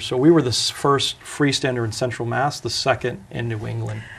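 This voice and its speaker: Against a quiet background, a man with a medium pitch and a somewhat breathy voice speaks at a moderate pace with fairly even intonation. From northern Vermont. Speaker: restaurant franchise owner. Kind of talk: interview.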